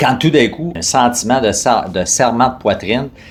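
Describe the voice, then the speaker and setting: Against noticeable background noise, a man with a Quebec accent talks at a fairly slow pace. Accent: Québécois French. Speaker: fitness company co-founder. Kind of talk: personal testimony interview. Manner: hesitant, many fillers.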